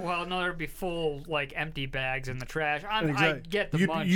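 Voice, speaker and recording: Over noticeable background noise, a man speaks fairly quickly at a fairly high pitch with ordinary pitch variation. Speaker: radio talk show host.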